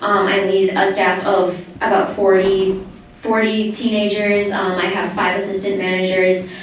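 A woman at a moderate pace, with strong room echo and light background noise. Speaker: student speaking at public comment session. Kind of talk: public comment speech. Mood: earnest, slightly nervous. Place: hall.

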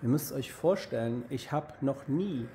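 Over light background noise, a man speaks fairly slowly in a dark, mellow, somewhat breathy tone with ordinary pitch variation. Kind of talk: casual vlog chat. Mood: agitated, indignant. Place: street. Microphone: phone near.

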